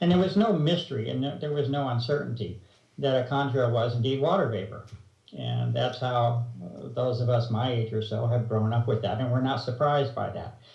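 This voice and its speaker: At a fairly quick pace, a man talks at medium pitch with ordinary pitch variation, and audible room echo surrounds his voice. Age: 60s. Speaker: researcher interviewed about chemtrails. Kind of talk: interview. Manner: hesitant, many fillers.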